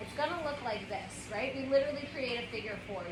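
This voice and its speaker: A woman's raised, projected voice, high in pitch, with audible room echo and noticeable background noise. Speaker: yoga teacher. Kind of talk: yoga class instruction.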